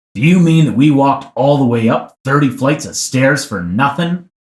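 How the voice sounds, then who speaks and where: Putting on a character voice, a man speaks at a fairly high pitch with ordinary pitch variation. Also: moderate pace. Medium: read story.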